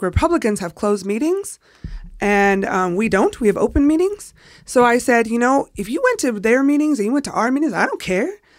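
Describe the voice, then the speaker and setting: A woman talks at a fairly quick pace with lively intonation. The recording is very clean, with a silent background. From California, San Jose / Bay Area. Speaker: local party organizer. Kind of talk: casual chat.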